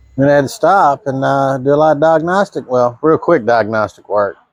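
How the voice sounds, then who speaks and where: Recorded dry and close with no echo, a man with an unremarkable speaking voice talks at a moderate pace, with fairly high pitch and lively intonation. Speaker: home mechanic. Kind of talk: casual talk to camera.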